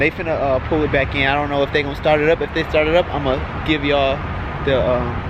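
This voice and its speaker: A man's fairly high-pitched voice at a very fast pace over noticeable background noise. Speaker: car vlogger. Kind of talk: casual vlog commentary. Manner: stuttering.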